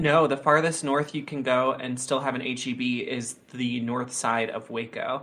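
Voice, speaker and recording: A man of medium pitch with an American accent, moderate pace and monotone, flat intonation. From Texas. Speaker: podcast co-host, game player. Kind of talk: casual chat.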